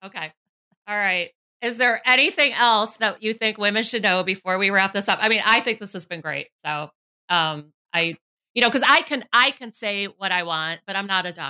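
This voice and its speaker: A woman speaks loudly at a moderate pace, her medium-pitched voice bright and sharp, on a very clean recording with a silent background. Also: ordinary pitch variation. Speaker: podcast host and beauty blogger. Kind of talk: casual interview.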